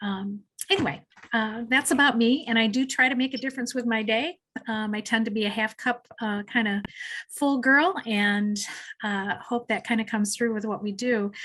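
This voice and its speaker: A woman speaks at a moderate pace with a fairly high pitch. Her tone is bright and sharp, with ordinary pitch variation. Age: 60s. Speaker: mental health counselor. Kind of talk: webinar presentation. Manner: halting, many fillers.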